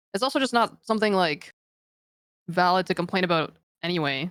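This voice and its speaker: Her voice sits at a fairly low pitch for a woman. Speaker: esports pro player. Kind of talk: podcast interview. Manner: monotone; casual, filler-heavy.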